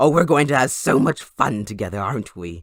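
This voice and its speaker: Using a put-on character voice with very wide pitch swings, a man speaks at medium pitch in a very clean, dry, close recording with no echo and a silent background. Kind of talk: audio roleplay. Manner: taunting, playful.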